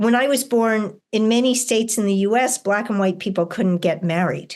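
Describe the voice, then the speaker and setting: A woman talks at a moderate pace in a normal speaking voice, with ordinary pitch variation. Her loudness stays very even over a quiet background. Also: fairly high pitch for a woman. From US, New York City. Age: 60s. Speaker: author and educator. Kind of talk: interview conversation.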